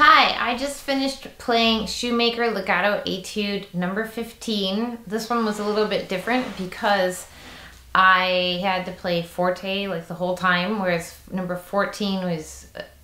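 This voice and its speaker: Over noticeable background noise and audible room echo, a woman talks at a fairly slow pace with ordinary pitch variation. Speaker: horn teacher and performer. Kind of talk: tutorial. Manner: casual.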